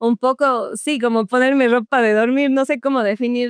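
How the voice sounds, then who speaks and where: A woman with a southern Ecuadorian accent speaks at a fairly slow pace in a fairly high pitch and fairly even intonation, against a quiet background. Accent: Cuenca-like southern Ecuadorian. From Ecuador, Azogues (southern highlands). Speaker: beauty queen. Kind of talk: podcast interview.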